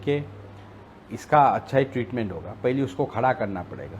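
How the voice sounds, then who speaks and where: A man's medium-pitched voice rises and falls with lively intonation. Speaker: politician. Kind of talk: interview.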